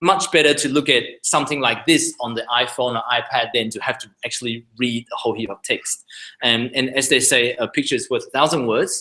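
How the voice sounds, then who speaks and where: Speaking at a fairly quick pace with hardly any pauses, a man with a non-native accent uses a bright, sharp tone and ordinary pitch variation. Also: medium pitch for a man. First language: not English. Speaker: surgeon. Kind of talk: lecture. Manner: halting.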